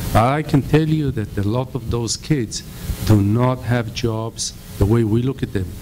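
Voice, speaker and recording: Over noticeable background noise, a man with an Israeli accent talks at medium pitch and a moderate pace with ordinary pitch variation. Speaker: real estate investor. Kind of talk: panel discussion.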